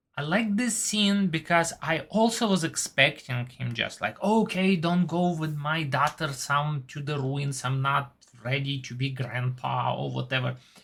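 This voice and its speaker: Speech comes at a fairly slow pace. A non-native accent is heard. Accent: foreign. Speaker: TV show reviewer. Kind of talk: casual monologue review. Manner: slightly halting.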